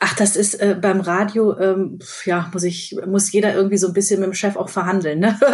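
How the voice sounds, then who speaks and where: Over noticeable background noise, a woman at medium pitch talks at a moderate pace in a monotone, flat delivery with hardly any pauses. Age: 40s. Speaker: radio host. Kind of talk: casual chat.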